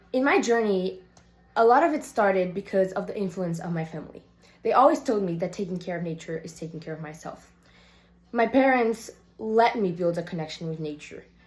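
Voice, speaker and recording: A woman's somewhat breathy voice at medium pitch, fairly quick in pace, with lively intonation and big swings in loudness. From Brazil, Salvador, Bahia. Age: 18. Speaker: youth climate activist and surfer. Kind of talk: prepared personal video statement.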